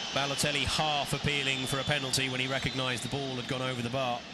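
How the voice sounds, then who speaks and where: A man with an English accent talks at a very fast pace in a medium pitch and a monotone, flat intonation, with audible room echo and noticeable background noise. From England. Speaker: football commentator. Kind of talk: live commentary.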